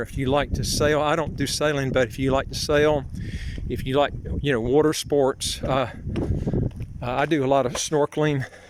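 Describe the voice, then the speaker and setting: In a Southern US accent, a man with a fairly high pitch talks in a flat monotone at a moderate pace with long, frequent pauses, over noticeable background noise. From US South, North Carolina. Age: 60s. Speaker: vlogger, citizenship consultant. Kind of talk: casual walking vlog. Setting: outdoors, walking. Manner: halting, many fillers.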